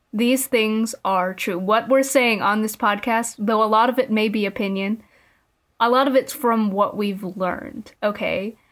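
Here a woman's voice sits at a fairly high pitch with fairly even intonation. The recording is very clean, with a silent background. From immigrated to the US at age five. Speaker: podcast host and college student. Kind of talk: casual chat.

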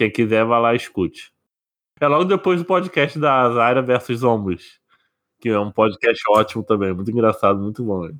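At a moderate pace, a man with a medium-pitched voice talks with lively intonation. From Brazil, interior. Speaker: podcast host. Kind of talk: casual chat.

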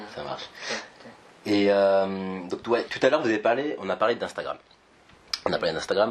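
Against noticeable background noise, a man with a fairly low pitch and ordinary pitch variation speaks at a moderate pace, leaving long, frequent pauses. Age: 20s. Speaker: podcast host, entrepreneur. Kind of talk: casual interview. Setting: startup campus office.

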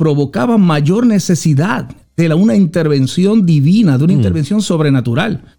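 A man's high, dark, mellow voice with lively intonation at a moderate pace. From Puerto Rico, Juana Díaz. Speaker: apostle, former police officer. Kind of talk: testimony.

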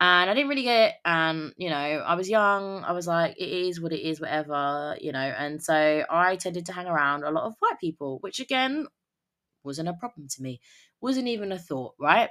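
In a British accent, the speaker talks at a moderate pace with lively intonation and a bright, sharp tone. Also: woman, fairly low pitch for a woman. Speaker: podcast host. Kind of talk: casual solo podcast monologue. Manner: casual, conversational, filler words.

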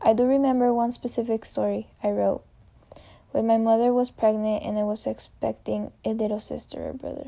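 A woman's fairly high voice with a Spanish accent, dark and mellow in tone, at a moderate pace. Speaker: college student. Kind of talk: reading aloud a personal reflection essay.

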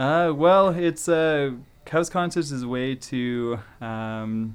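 A man talks with a Canadian accent. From Calgary, Alberta, Canada. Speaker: forester and house concert host. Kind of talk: radio interview. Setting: radio studio. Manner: hesitant, many fillers and repetitions.

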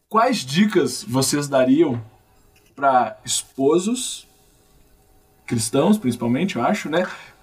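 Music sits in the background as a man speaks very slowly with long, frequent pauses. His fairly high voice carries lively intonation. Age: 20s. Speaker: podcast host. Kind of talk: casual chat.

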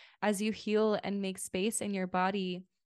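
A woman with a plain, everyday voice speaks at a medium pitch and moderate pace with fairly even intonation, the sound dry and close with no echo over a quiet background. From Lithuania and US. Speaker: quantum healer. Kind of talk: casual interview.

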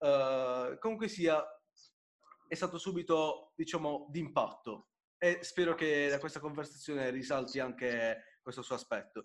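At a fairly slow pace, a man speaks in an ordinary speaking voice. His fairly high pitch has ordinary pitch variation. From Apulia, southern Italy (Bari). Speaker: podcast host. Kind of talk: casual interview chat.

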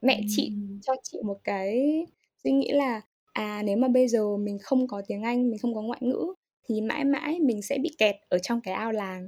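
Her fairly high voice moves with lively intonation as the woman talks at a moderate pace. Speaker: English teacher. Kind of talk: interview. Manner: halting.

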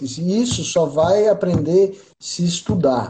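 A man's high voice with a dark, mellow tone at a very slow pace. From interior of São Paulo state, Brazil (Mogi das Cruzes). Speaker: audio engineer. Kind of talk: casual interview.

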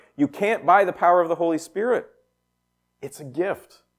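Loud and lively in intonation, a man speaks in a high pitch at a moderate pace. The recording is very clean, with a silent background. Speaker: pastor. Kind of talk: sermon. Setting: church with PA system.

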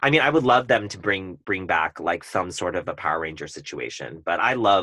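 In a Californian accent, a man with a very deep, low pitch and a bright, sharp tone swings his pitch very widely, speaking at a moderate pace with hardly any pauses against a quiet background. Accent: Californian American English. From Southern California (Orange County). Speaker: event planner. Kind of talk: casual chat.

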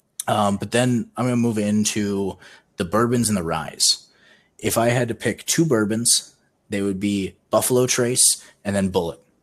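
At a moderate pace, a normal speaking voice keeps fairly even intonation in a very clean recording with a silent background. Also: man, fairly low pitch for a man. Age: 20s. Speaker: podcast co-host. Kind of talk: casual chat.

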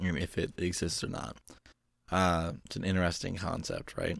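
This man's voice sits at a very deep, low pitch. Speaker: podcast host. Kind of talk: casual chat. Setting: home studio.

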